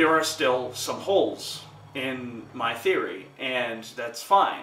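A man's voice with audible room echo. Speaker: film fan vlogger. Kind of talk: casual vlog commentary. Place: home room.

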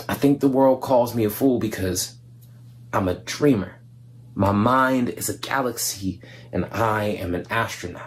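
A somewhat breathy man's voice over light background noise. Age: young. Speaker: spoken word poet. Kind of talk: spoken word poetry performance. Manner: animated, conversational. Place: home room. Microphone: webcam.

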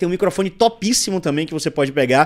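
A man speaks with ordinary pitch variation. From Brazil. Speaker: podcast host. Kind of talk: casual chat; sponsor read. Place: studio. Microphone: studio mic.

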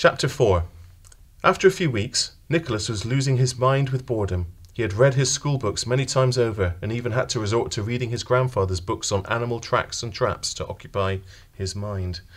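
A man with a British accent speaks at a fairly quick pace in a dramatic tone. His medium-pitched voice is somewhat breathy, with ordinary pitch variation. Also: very clean recording, silent background. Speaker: audiobook narrator. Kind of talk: audiobook narration of a fairy-tale story, with character voices. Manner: storyteller's measured, dramatic delivery; shifts into distinct character voices.

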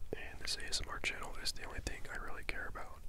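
A man is whispering. His words come out as a whisper throughout. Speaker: asmr creator. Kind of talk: ASMR whisper ramble. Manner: whispered; rambling, casual. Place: home room. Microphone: handheld.

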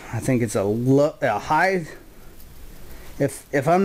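Light background noise sits behind a man's speaking voice. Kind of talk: casual tour commentary. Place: home room. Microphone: phone near.

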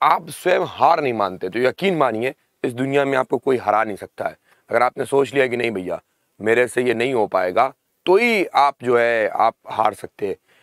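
A man's voice with very wide pitch swings, dry sound with no echo, and a quiet background. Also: moderate pace. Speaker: online exam-prep teacher. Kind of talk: lecture. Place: studio.

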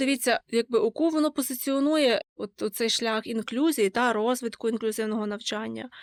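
A woman speaks at a high pitch in a dry, close sound with no echo. The recording is very clean, with a silent background. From western Ukraine, Lviv region. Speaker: university student. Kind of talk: interview.

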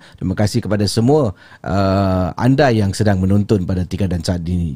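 A man's dark, mellow voice at a moderate pace over a quiet background. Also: dry sound with no echo. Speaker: podcast host. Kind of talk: livestream host introduction. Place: studio. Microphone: studio mic.

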